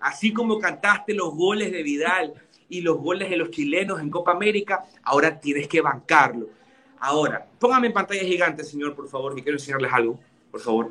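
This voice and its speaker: A man with a fairly high pitch, animated in tone and lively in intonation, at a fairly quick pace. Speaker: football pundit. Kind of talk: casual chat.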